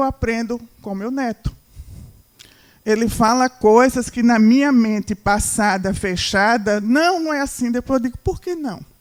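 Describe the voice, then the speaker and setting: A plain, everyday voice speaks at a moderate pace with ordinary pitch variation. The sound is dry and close, with no echo. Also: woman. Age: 60s. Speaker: marketing speaker. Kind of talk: lecture.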